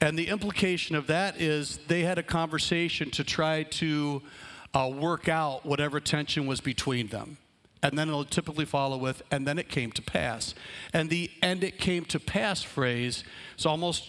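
A man in a normal speaking voice speaks at a fairly high pitch and a moderate pace. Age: 50s. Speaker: pastor. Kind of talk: sermon.

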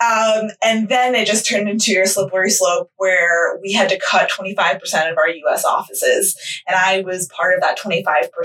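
A woman with an American accent and an unremarkable speaking voice, medium pitch, fairly slow pace, fairly even intonation and hardly any pauses. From Westchester, New York. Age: 20s. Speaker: podcast co-host. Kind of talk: casual chat.

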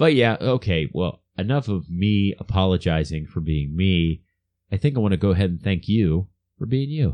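With an American accent, a man speaks at a moderate pace in a very deep, low pitch, his tone dark and mellow and his intonation lively. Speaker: podcast co-host. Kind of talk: casual comedic chat.

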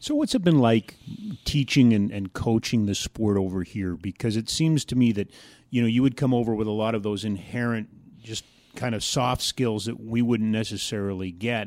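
Recorded very cleanly against a silent background, a man uses an ordinary speaking voice at medium pitch, moderate pace and ordinary pitch variation. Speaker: radio host. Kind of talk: interview.

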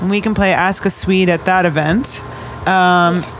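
A woman's fairly low voice with fairly even intonation over noticeable background noise. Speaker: radio host. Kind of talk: live radio show chat with young guests. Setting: radio studio in a shipping container. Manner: fast talker, radio voice.

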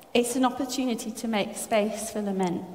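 A woman talks at a fairly high pitch. Noticeable background noise and audible room echo fill the recording. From France. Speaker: preacher. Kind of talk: sermon.

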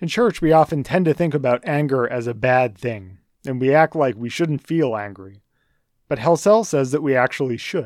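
On a very clean recording with a silent background, a man with an American accent uses a plain, everyday voice at a fairly high pitch and a moderate pace. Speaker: church educator leading a book study. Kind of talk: lecture.

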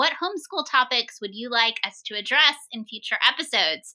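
A woman projects a raised voice with a bright, sharp tone at a high pitch. She keeps a moderate pace. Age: 40s. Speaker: homeschool podcast co-host and teacher. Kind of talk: casual chat.

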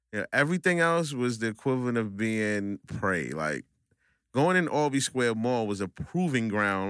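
A man with a New York accent has a bright, sharp tone and lively intonation, in a dry, close sound with no echo on a very clean recording with a silent background. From Brooklyn, New York (Coney Island). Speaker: barber. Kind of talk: casual chat. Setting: studio.

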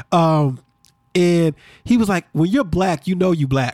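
The man's voice shows ordinary pitch variation, captured in a dry, close sound with no echo. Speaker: podcast host. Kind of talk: casual chat. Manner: fast.

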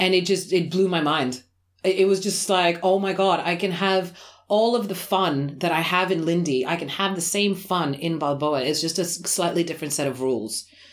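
In an Australian accent, a woman speaks at a moderate pace with a fairly low pitch and ordinary pitch variation. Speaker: swing dance teacher and podcast co-host. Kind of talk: casual chat. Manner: loud.

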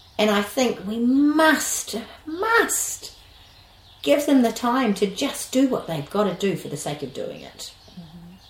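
A woman's very slow speech in a New Zealand accent, with very wide pitch swings, big swings in loudness and noticeable background noise. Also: fairly high pitch for a woman. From New Zealand, West Auckland. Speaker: early childhood educator. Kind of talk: interview conversation. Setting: at her rural home, sheep and birds audible.

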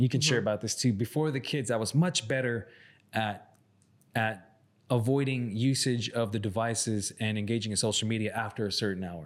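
At a fairly quick pace, a man speaks in an ordinary speaking voice at medium pitch with ordinary pitch variation, on a very clean recording with a silent background. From Arizona, Salt River reservation. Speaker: podcast co-host. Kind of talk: casual chat.

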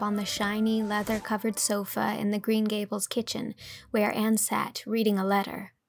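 The passage is read out loud. It comes across in a natural voice.

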